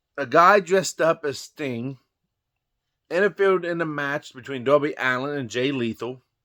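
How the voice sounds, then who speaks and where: A man's fairly high voice, bright and sharp in tone, at a moderate pace with ordinary pitch variation, on a very clean recording with a silent background. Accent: Southern US. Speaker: wrestling commentary vlogger. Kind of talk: casual monologue. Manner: conversational.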